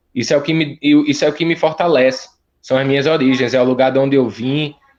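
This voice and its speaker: Speaking very fast with a northeastern Brazilian accent, a man keeps a fairly high pitch and fairly even intonation. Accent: northeastern Brazilian, kept. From Olinda, Pernambuco, Brazil. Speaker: musician and TV presenter. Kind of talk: interview. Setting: phone call. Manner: casual, halting. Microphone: phone line trouble.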